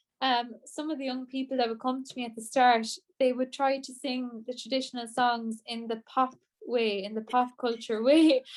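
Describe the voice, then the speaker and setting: With an Irish accent, a woman speaks at a moderate pace. Her pitch is high. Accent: Irish (Clare). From Ireland, Co. Clare (Shannon). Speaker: traditional singer. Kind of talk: interview.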